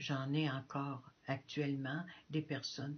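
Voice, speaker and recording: Somewhat breathy, a woman speaks with a very deep, low pitch and monotone, flat intonation. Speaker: missionary nun. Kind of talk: testimony. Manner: halting.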